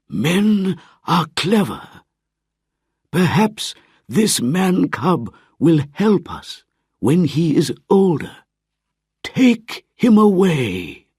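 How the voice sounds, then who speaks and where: At a very slow pace with long, frequent pauses, a man does a put-on character voice in a high pitch. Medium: read story.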